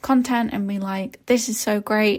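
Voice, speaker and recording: At a moderate pace, a woman speaks somewhat breathily with a medium pitch and fairly even intonation. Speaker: podcast host, social media strategist. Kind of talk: solo podcast talk. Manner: casual, chatty.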